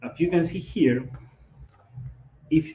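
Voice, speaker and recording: There is noticeable background noise as a man with a Latin American accent speaks at a fairly high pitch with ordinary pitch variation. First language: Spanish. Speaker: triathlon and swimming coach. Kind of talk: lecture. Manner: halting.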